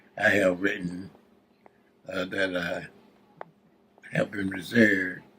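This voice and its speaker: A man with a Southern US accent speaks at a very slow pace. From South Carolina. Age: 80s+. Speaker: retired educator, poet, World War Two veteran. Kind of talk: interview answer.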